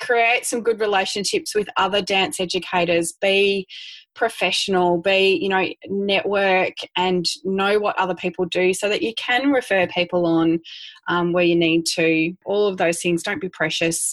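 A woman with an Australian accent speaks at a moderate pace and medium pitch. Her loudness stays very even, and her pitch varies in an ordinary way. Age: 40s. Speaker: dance studio owner. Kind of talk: interview. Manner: animated.

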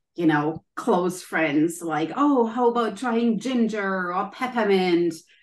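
A woman at a medium pitch with a German accent, ordinary pitch variation and a very slow pace. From Germany. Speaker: wellness coach and author. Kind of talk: interview.

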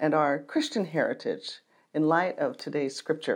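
The background is quiet. A woman talks with an American accent. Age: 60s. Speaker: pastor. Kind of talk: sermon. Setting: church archives room, filmed video.

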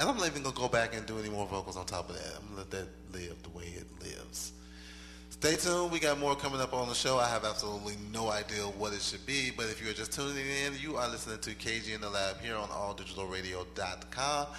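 Fairly low in pitch, a man speaks at a very fast pace with lively intonation. Music plays in the background. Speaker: radio show host. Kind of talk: casual radio show hosting between songs. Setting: radio studio broadcast.

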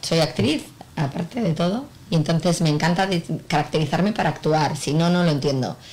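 A woman's normal speaking voice, fairly low-pitched, with very even loudness throughout. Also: ordinary pitch variation, fairly quick pace. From Spain, Bilbao (Basque Country). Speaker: clothing brand owner and actress. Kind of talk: casual radio interview. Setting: venue during a live broadcast.

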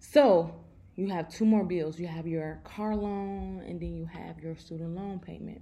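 In an American accent, a woman talks at a fairly slow pace with big swings in loudness, and audible room echo surrounds her. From Chicago. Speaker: personal finance podcaster. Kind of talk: casual monologue. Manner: animated.

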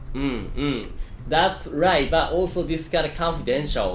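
Against music in the background, a speaker with a Japanese accent talks at a moderate pace with ordinary pitch variation. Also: man. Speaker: Japanese teacher and podcast host. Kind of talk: casual chat. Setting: online voice chat room.

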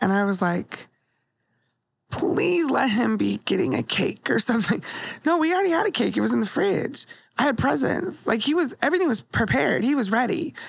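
A woman talks at a fairly quick pace with a fairly high pitch, very wide pitch swings and vocal fry. Her loudness stays very even throughout. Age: 40s. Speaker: podcast co-host and comedian. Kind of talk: casual chat; testimony.

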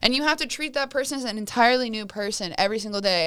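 A very clean recording with a silent background, carrying lively intonation. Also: woman. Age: 20s. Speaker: content creator. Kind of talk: casual chat.

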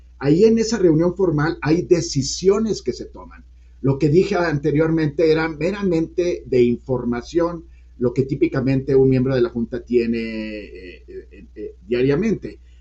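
With music in the background, a man talks at a fairly slow pace in a fairly high voice, his intonation lively and his loudness swinging widely. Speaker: economist, former central bank deputy governor. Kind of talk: interview.

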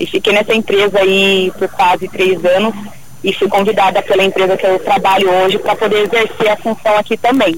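A woman at medium pitch with monotone, flat intonation, very even loudness and a fairly quick pace over noticeable background noise. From São Paulo state, Brazil. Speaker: truck driver instructor. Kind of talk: radio interview.

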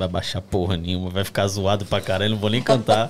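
A man is talking. His pace is very fast. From Brazil, São Paulo city. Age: 20s. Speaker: singer, lead vocalist of a pagode group. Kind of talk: casual chat.

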